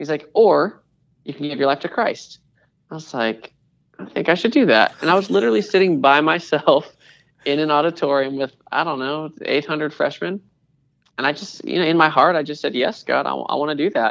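With an American accent, a man talks at a fairly quick pace in a fairly high pitch, showing vocal fry and ordinary pitch variation. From US Pacific Northwest (Washington State). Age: 30s. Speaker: creative pastor. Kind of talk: interview.

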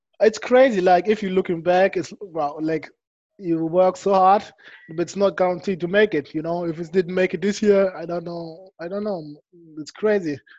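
The speech moves at a moderate pace. It carries a German accent. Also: man, high pitch for a man. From Germany. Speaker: professional American football player. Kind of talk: interview. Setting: video call.

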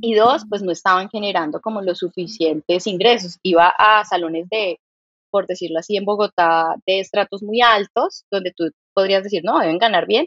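Speaking at a moderate pace, a woman uses a medium pitch with ordinary pitch variation. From Colombia, Santander. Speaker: startup founder and CEO. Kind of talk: interview conversation.

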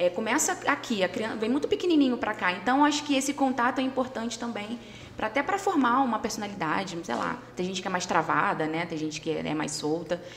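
Noticeable background noise sits behind a woman talking at a very fast pace with hardly any pauses. Her fairly high voice swings very widely in pitch. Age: 30s. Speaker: casting producer and singer. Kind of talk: casual chat.

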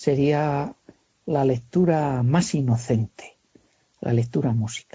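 At a very slow pace, a man speaks with a medium pitch, ordinary pitch variation and a somewhat breathy voice. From Castile, Spain (Segovia). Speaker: carpenter. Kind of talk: interview. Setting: phone call.

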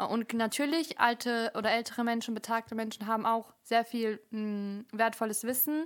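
Fairly high in pitch, a woman with an unremarkable speaking voice keeps a moderate pace and fairly even intonation. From Germany, Bielefeld. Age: 20s. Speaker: podcaster and student. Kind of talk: casual chat.

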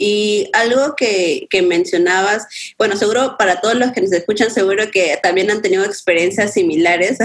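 With an ordinary speaking voice, a woman talks at a moderate pace, her medium pitch showing ordinary variation. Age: 20s. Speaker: graphic designer and photographer. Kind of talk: casual chat.

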